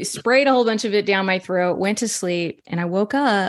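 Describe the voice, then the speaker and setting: The woman has an American accent. She talks at a moderate pace. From Texas. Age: 40s. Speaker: chicken keeper and homeopathy user. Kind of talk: interview.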